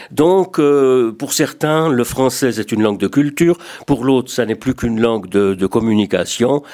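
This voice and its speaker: A man's dark, mellow tone at medium pitch, with ordinary pitch variation and a moderate pace. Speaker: retired radio journalist, association secretary general. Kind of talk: radio talk show discussion.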